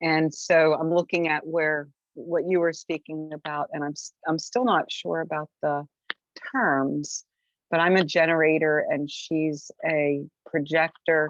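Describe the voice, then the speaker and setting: A woman speaks at a fairly slow pace in a very deep, low voice with fairly even intonation, the sound dry and close with no echo. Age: 60s. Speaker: workshop participant. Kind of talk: casual chat.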